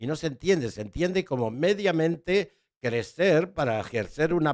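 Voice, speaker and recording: A man speaks with a non-native accent. His pace is moderate and his intonation lively. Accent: foreign. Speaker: educator and writer. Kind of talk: interview conversation.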